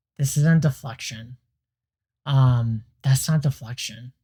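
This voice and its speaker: Quiet and somewhat breathy, a man talks at a medium pitch with fairly even intonation. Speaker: YouTube reaction creator. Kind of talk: reaction commentary.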